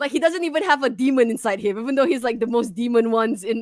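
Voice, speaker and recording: With a non-native accent, a woman speaks at a fairly quick pace in an animated tone with lively intonation. Music plays in the background. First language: not English. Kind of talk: casual chat.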